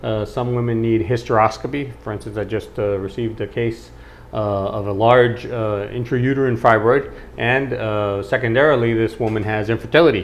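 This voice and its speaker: A man's plain, everyday voice at medium pitch, moderate pace and with fairly even intonation. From Costa Rica, born in New York. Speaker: obstetrician and gynecologist. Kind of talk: interview answer.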